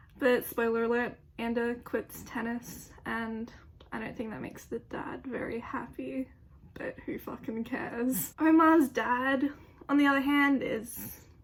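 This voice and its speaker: With an Australian accent, a woman speaks at a high pitch and a fairly slow pace, keeping her intonation fairly even. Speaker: youtuber. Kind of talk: casual opinion monologue. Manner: casual, filler-heavy.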